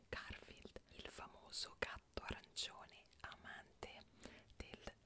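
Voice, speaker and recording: A woman whispers, soft-spoken, at a very slow pace. Loud background noise fills the recording. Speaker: streamer. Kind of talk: casual stream chat reading trivia. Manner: soft close-mic whisper. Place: home room. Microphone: earbuds.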